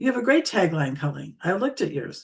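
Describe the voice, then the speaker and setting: A somewhat breathy woman's voice at medium pitch, with very wide pitch swings. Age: 70s. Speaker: LinkedIn coach. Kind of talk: interview on live stream. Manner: animated.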